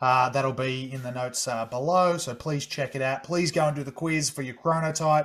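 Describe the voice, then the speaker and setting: A man speaks in a plain, everyday voice at a fairly high pitch. He uses hardly any pauses. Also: fairly even intonation, moderate pace. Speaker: podcast host. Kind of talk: casual interview chat.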